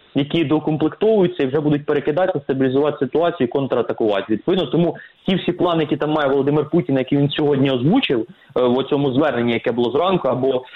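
Talking very fast, a man uses lively intonation at a fairly high pitch. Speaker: military expert. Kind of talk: expert interview.

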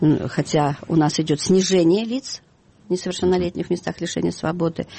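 Noticeable background noise sits under a woman's voice as she keeps a moderate pace. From Kazakhstan. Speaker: lawyer and children's welfare NGO head. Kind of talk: radio interview. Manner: halting, many fillers.

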